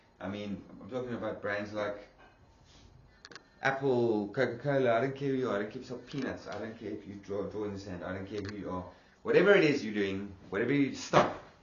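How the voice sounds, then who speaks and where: Against audible room echo, a man talks at a very fast pace with a fairly low pitch and big swings in loudness. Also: ordinary pitch variation. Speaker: online marketing influencer. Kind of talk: sales pitch. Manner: animated.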